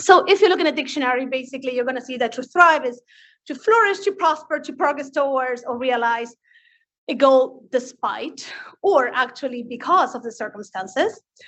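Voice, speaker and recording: A woman's high-pitched voice with an Argentinian accent, fairly quick pace, lively intonation and big swings in loudness. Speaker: physician presenting at grand rounds. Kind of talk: lecture.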